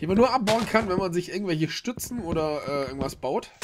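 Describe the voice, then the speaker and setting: Noticeable background noise behind a man talking at a fairly quick clip. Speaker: gamer. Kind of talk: let's play commentary. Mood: relaxed, chatty.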